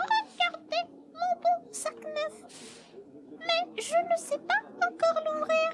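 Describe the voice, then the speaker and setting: The pace here is very slow. A put-on character voice does the talking. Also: female-sounding voice, extremely high pitch for a woman. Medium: read story.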